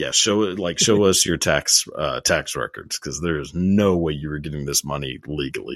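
A man's very deep, low voice with a Texan accent and lively intonation against a quiet background. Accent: Texan American English. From Texas. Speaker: YouTuber. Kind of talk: casual chat.

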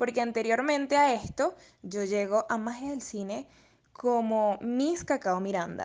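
In an ordinary speaking voice, a woman speaks at a fairly slow pace with a fairly high pitch and ordinary pitch variation against a quiet background. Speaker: radio presenter and model. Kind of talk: interview.

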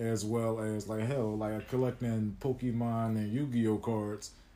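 Medium in pitch, a man talks at a moderate pace with monotone, flat intonation. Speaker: podcast host. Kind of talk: casual chat.

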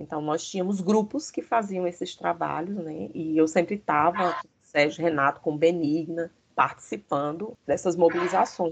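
A woman with a normal speaking voice, fairly low in pitch, at a moderate pace with ordinary pitch variation. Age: 50s. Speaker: history teacher and former student leader. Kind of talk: interview.

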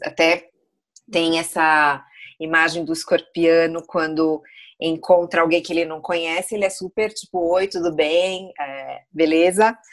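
A woman talks fairly slowly while music plays behind her. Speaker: astrology guest. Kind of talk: casual chat.

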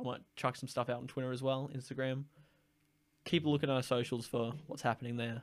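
In an Australian accent, a man at medium pitch talks very fast in a monotone, flat intonation. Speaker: podcast host. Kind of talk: casual chat.

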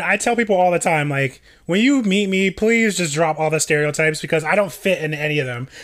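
Very fast, animated speech in an American accent, with lively intonation, hardly any pauses, and a very clean recording with a silent background. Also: man. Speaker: podcast co-host. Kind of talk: casual chat.

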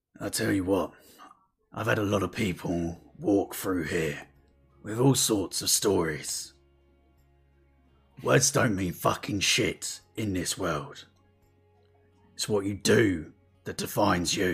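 A man puts on a gruff character voice at a fairly low pitch, speaking at a fairly slow pace with long, frequent pauses. Faint music plays in the background. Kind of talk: game master character voice. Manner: gruff, blunt, profane.

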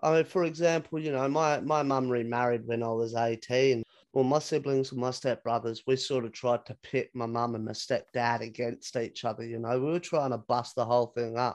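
This man has an Australian accent and fairly even intonation. He talks with hardly any pauses. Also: medium pitch for a man, fairly quick pace. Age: 30s. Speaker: podcast host. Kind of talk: casual chat.

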